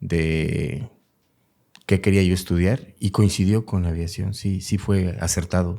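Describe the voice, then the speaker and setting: In a very deep, low pitch, a man talks at a very slow pace with a dark, mellow tone and fairly even intonation. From Mexico City. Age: 60s. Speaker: retired military helicopter pilot. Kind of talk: interview.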